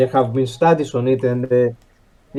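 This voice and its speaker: A man talks at a medium pitch with a non-native accent. His tone is dark and mellow, and his intonation stays fairly even. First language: not English. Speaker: podcast panelist. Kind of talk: debate. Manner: halting, many fillers.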